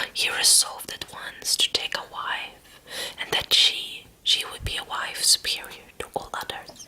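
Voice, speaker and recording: Noticeable background noise accompanies a fairly slow whisper. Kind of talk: ASMR story reading. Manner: soft whisper.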